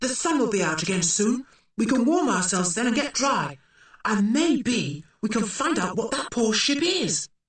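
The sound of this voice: The voice reads in an easy, unforced way. Its pitch moves about with plenty of life.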